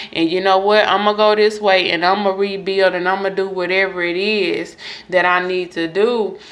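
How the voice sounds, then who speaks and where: Against noticeable background noise, a woman talks at a moderate pace in monotone, flat intonation. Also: medium pitch for a woman. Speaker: tarot reader. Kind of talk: astrology reading monologue.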